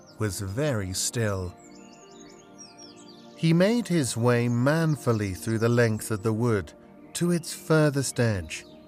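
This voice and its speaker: Music plays behind a man speaking at a very slow pace. His pitch swings very widely. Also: long, frequent pauses. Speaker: narrator. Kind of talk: audiobook reading. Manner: calm, relaxing.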